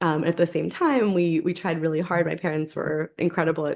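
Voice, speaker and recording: A woman talks at a fairly quick pace in a normal speaking voice, pitched fairly low, with an American accent. Her intonation stays fairly even against a quiet background. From New York, US. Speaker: novelist. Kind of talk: interview.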